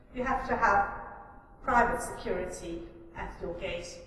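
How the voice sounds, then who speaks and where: Audible room echo and noticeable background noise around fairly slow speech. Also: woman. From Africa. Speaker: tax compliance professional. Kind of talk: prepared conference debate speech. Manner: formal.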